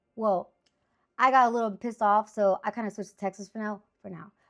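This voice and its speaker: Here is a woman with a Spanish accent and a fairly high pitch. She talks at a fairly quick pace in an animated tone. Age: 30s. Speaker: sports picks streamer. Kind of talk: casual monologue.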